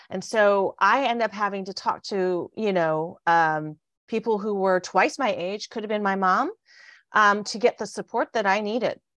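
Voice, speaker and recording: A woman's plain, everyday voice at medium pitch, fairly slow and with ordinary pitch variation, in a dry, close sound with no echo. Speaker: money expert, conference host. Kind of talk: casual interview. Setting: Facebook Live stream.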